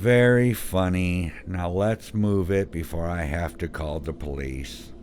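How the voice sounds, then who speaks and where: Fairly slow delivery in a put-on character voice, clear background noise behind it. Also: man, very deep, low pitch for a man, ordinary pitch variation. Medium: read story. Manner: blunt, profane.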